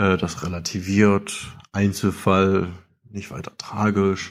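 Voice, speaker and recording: In a very clean recording with a silent background, a man speaks very slowly at a fairly low pitch. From eastern Saxony. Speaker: listener voicemail caller. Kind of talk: recorded listener message.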